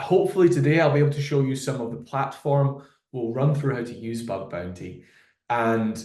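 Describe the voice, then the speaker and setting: A man with a Glasgow accent speaks amid audible room echo. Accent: Scottish (Glasgow). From Scotland, Glasgow. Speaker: solutions engineer. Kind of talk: product webinar presentation. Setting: live webinar video call.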